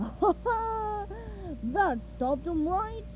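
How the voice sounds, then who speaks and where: A woman performs a put-on character voice with clear background noise behind her. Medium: read story. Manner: boastful, blustering.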